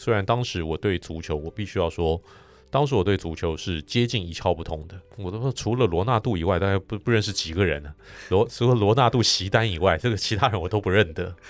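On a very clean recording with a silent background, a man with an unremarkable speaking voice talks fairly quickly at a fairly low pitch with ordinary pitch variation. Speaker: sports broadcaster. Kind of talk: casual interview.

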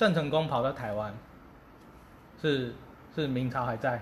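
Long, frequent pauses break up this man's medium-pitched, somewhat breathy speech. Audible room echo surrounds his voice. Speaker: podcast co-host. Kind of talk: casual chat.

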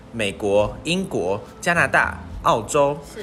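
A man speaks with very wide pitch swings. Noticeable background noise runs under his voice. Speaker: podcast co-host, student. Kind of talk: casual chat.

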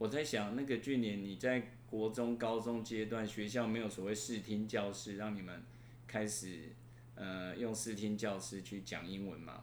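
A man with a fairly low voice speaks at a fairly slow pace and with fairly even intonation, and there is audible room echo. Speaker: university professor. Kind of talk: interview. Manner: halting.

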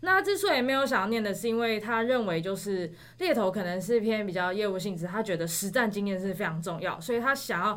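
A woman speaks with a Taiwanese accent. Her pitch is medium. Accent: Taiwanese Mandarin. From Taiwan, Taipei. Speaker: graduate student. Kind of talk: casual chat.

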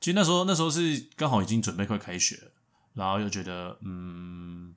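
Very clean recording, silent background. A man speaks at a fairly low pitch. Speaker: podcast co-host. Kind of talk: casual chat.

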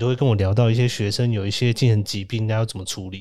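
At a very fast pace, a man speaks in a medium pitch with a dark, mellow tone. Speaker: podcast host, social worker. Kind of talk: casual chat. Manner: animated, frequent laughter.

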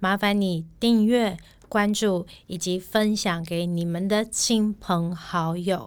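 The recording is very clean, and the background is silent. A woman's intonation stays fairly even. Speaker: podcast co-host. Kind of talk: casual chat. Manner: fluent.

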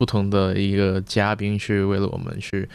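A man speaks at a moderate pace and fairly low pitch in a monotone, flat intonation. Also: very clean recording, silent background. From Macau. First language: Cantonese (speaking Chinese). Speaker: podcast co-host. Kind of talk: casual chat.

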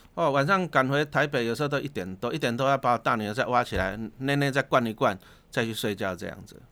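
On a very clean recording with a silent background, a man speaks at a fairly quick pace. His bright, sharp voice sits at a medium pitch with ordinary pitch variation. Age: 50s. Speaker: investment author, former teacher. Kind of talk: casual interview.

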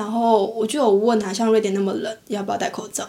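A woman with a fairly high pitch speaks with fairly even intonation over noticeable background noise. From Taiwan. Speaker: podcast co-host. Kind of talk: casual chat.

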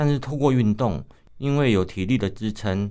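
A man with an unremarkable speaking voice talks at a moderate pace with ordinary pitch variation against a quiet background. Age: 50s. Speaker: visually impaired runner, running association chairman, retired civil servant. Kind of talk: radio interview.

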